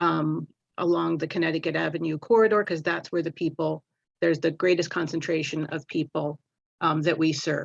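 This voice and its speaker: A woman with a very deep, low pitch and vocal fry talks at a fairly quick pace with fairly even intonation. The sound is dry and close with no echo, over a quiet background. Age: 60s. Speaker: food pantry organizer. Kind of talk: public meeting statement. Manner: halting, many fillers.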